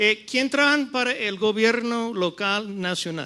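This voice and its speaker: In an English-speaking accent, a man uses a raised, projected voice at a high pitch with a bright, sharp tone. He goes at a very slow pace with lively intonation. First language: English (speaking Spanish). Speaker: panel moderator, economic consultant. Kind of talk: conference panel talk. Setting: stage with audience. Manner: halting, switching between English and Spanish.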